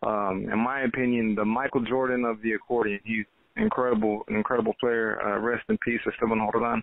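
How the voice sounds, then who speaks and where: In an American accent, a man speaks in a flat monotone at very even loudness. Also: medium pitch for a man, fairly quick pace. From Texas, Austin. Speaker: accordion musician. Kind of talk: interview.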